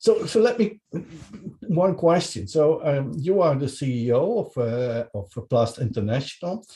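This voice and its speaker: With a Dutch accent, a man speaks fairly slowly in a dark, mellow, somewhat breathy tone, his pitch swinging very widely. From Netherlands. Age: 60s. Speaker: podcast interviewer. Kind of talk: interview. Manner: halting.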